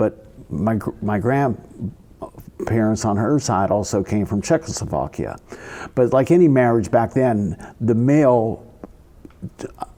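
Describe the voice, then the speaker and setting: An American accent with lively intonation, a fairly slow pace and long, frequent pauses, over noticeable background noise. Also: man, medium pitch for a man. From western Pennsylvania (Rankin, near Pittsburgh). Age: 70s. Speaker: retired basketball coach. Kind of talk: casual interview. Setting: community hall ballroom. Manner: halting, with many restarts and fillers.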